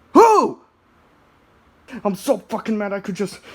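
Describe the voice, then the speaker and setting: A cartoonish character voice at a fairly high pitch, delivered at a moderate pace. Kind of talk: comedic puppet skit. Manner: whiny, melodramatic.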